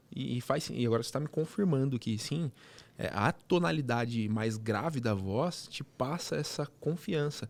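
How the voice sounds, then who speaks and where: Very wide swings in pitch from a man at a medium pitch. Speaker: podcast host. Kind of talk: interview podcast conversation. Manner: animated, fast when excited.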